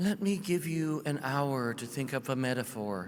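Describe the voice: Using a breathy, put-on character voice, a man speaks at a moderate pace and medium pitch.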